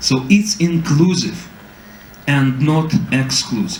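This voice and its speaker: A man talks in a Russian accent. Audible room echo surrounds his voice. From Ukraine. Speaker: political scientist. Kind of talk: panel talk. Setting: public debate with audience.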